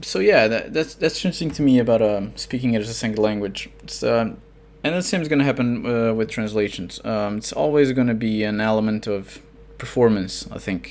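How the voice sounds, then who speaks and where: A man talks at a fairly quick pace with a medium pitch, with noticeable background noise behind him. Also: ordinary pitch variation. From Portugal. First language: Portuguese. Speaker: fiction author and translator. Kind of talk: podcast interview. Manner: halting, many fillers.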